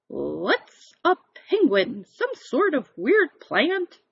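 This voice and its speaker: A woman bellows in a put-on character voice at a high pitch. Her pace is very slow. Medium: read story. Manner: bellowing, bossy.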